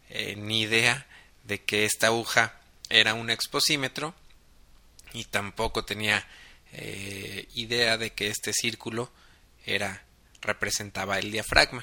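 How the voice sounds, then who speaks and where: A man with a medium pitch and a bright, sharp tone talks at a fairly slow pace. His intonation is fairly even, with long, frequent pauses. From Mexico, Guadalajara, Jalisco. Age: 30s. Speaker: photographer and podcast host. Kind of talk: casual monologue podcast.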